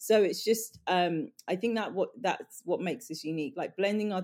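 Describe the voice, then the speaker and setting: The speaker has a London accent and talks at a fairly quick pace. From Northwest London. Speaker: beauty brand co-founder. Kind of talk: casual chat. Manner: halting.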